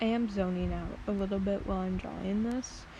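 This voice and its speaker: A soft-spoken woman at a moderate pace. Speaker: art content creator. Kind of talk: casual drawing vlog. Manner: hesitant, many fillers.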